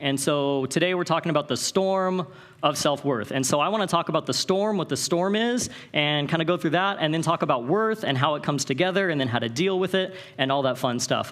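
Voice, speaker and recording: Speaking with an American accent, a man with a fairly high pitch talks at a fairly quick pace, with very even loudness and ordinary pitch variation. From Northern California. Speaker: Bible college director and conference speaker. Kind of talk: conference talk. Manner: fast; animated.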